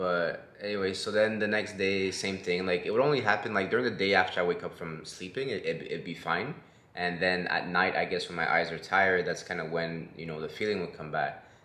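A man with a very deep, low voice talks with hardly any pauses. His pitch varies in an ordinary way, and there is audible room echo. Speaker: vlogger. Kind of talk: casual vlog chat. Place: home room. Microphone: phone near.

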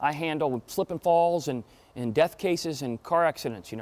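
An American accent at a moderate pace, with ordinary pitch variation. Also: man. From Florida. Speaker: trial attorney and motivational speaker; trial attorney, motivational speaker. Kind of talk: talk to an audience. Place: hall.

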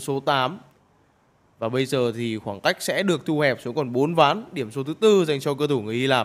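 This man has an ordinary speaking voice, pitched fairly high for a man. He talks at a moderate pace with lively intonation. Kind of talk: live sports commentary. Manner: praises shots and addresses viewers directly.

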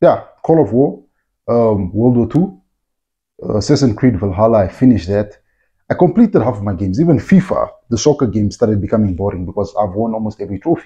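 A man talks at a fairly quick pace with lively intonation and a somewhat breathy voice. The background is quiet. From Namibia. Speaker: agricultural content creator and farmer. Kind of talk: casual vlog-style talk to camera. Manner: conversational, informal, uses fillers. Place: home room. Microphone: phone near.

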